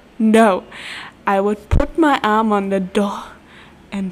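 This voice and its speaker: Noticeable background noise beneath a woman's voice, fairly high in pitch. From German-speaking country. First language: German. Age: 20s. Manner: animated, laughs often.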